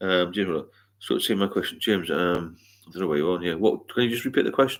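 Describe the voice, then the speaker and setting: With an American accent, a man talks at a fairly quick pace. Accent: British, remarked on by a US viewer. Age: 60s. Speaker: sobriety mentor and livestreamer. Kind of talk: casual live Q&A. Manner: hesitant, many fillers.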